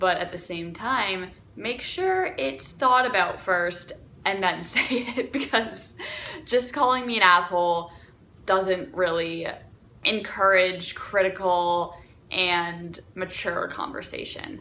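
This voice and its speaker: Noticeable background noise sits behind a woman talking at medium pitch. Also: ordinary pitch variation. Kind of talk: casual talk to camera.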